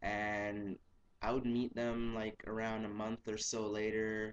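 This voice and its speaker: A man speaks at a medium pitch. His intonation is flat and monotone. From Jamaica. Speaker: language learner vlogger. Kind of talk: casual self-introduction vlog. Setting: webcam recording.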